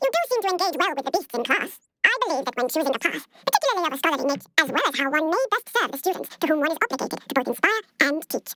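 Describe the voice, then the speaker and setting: A squeaky, high-pitched put-on character voice rattles along at a very fast pace. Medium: video game. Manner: measured, formal.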